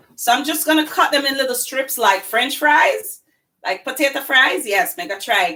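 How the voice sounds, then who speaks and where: A woman talks at a moderate pace in a high pitch, her voice swinging very widely in pitch. Her tone is bright and sharp. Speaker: cooking channel host. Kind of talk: live cooking demonstration. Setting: home kitchen, live stream. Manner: casual, chatty.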